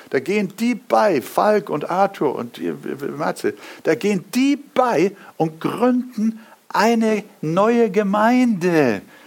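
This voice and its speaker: Very slowly, a man speaks with a high pitch. His pitch variation is ordinary. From Hamburg, northern Germany. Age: 70s. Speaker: pastor. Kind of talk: sermon.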